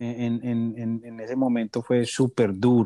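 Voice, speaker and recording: At a fairly slow pace, a man with a medium pitch and a dark, mellow tone speaks in a very clean recording with a silent background, the sound dry and close with no echo. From Colombia, Medellín (paisa). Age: 30s. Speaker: entrepreneur. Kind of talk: interview. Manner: halting, repeats words.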